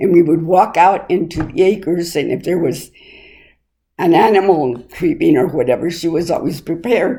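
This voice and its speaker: Dark, mellow tone in a woman's fairly low-pitched voice. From El Paso area, Texas (San Elizario). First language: Spanish. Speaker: oral history interviewee. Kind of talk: oral history interview. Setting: interviewee's home.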